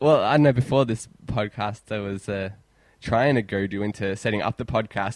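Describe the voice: This recording is plain reading aloud.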